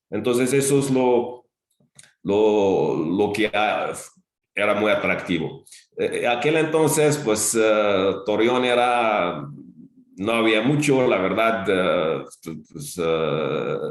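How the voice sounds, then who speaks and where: With audible room echo, a man talks at a very slow pace with lively intonation, long, frequent pauses and very even loudness. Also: medium pitch for a man. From Algeria. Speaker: retired teacher and school director. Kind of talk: interview. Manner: halting, many fillers and repetitions.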